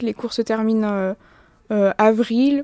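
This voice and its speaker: A woman speaks with fairly high pitch and a dark, mellow tone. Her sound is dry and close, with no echo. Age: 20s. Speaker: literature student and theatre worker. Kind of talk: interview.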